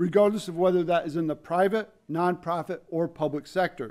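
A man talks with an American accent at a high pitch. His pitch variation is ordinary. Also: quiet background. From upstate New York. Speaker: public service center director; event host. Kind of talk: formal event introduction. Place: hall. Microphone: podium.

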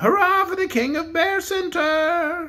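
A shrill, put-on character voice speaks at a fairly slow pace. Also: woman. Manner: cheering.

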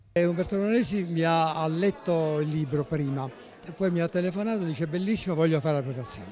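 A man speaks at a fairly quick pace in a high voice with ordinary pitch variation, the sound dry with no echo and crowd noise behind him. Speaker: retired surgeon and author; interviewee. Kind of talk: interview. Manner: halting. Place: hall. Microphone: handheld.

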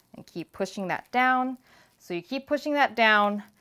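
Bright and sharp in tone, a woman speaks at a moderate pace. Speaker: cooking show host. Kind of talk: tutorial. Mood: cheerful and encouraging. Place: kitchen.

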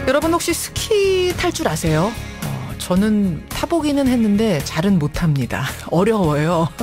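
With clear music in the background, a woman speaks at a fairly slow pace and her pitch swings very widely. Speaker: radio news anchor. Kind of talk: radio show introduction. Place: studio.

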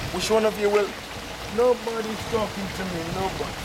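There is noticeable background noise behind the man speaking. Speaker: radio broadcaster and travel vlogger. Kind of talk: casual talk to camera. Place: waterside.

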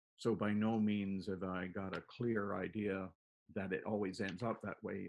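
A man speaks in a flat monotone at a fairly low pitch. Light background noise is audible. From Toronto, Canada (born in Plymouth, England); Toronto. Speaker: painter; interviewee. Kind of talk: casual interview. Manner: halting, many fillers. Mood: relaxed, reminiscing. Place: home room. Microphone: video call.

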